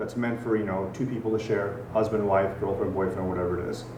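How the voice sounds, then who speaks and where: Medium-pitched male voice with an American accent, audible room echo and noticeable background noise. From Germany. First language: Farsi. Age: 40s. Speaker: gym owner. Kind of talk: podcast interview. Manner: conversational.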